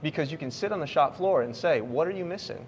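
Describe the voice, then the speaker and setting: A man with an American accent, lively intonation, and a fairly quick pace. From US Midwest, Grand Rapids. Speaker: tech company leader. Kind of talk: casual conversation and office tour. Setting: on location at a company office.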